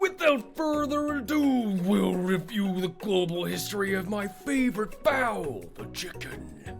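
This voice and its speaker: A man puts on a character voice at a high pitch, with clear music in the background. He talks at a fairly slow pace with hardly any pauses. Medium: game stream. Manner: formal, lecturing.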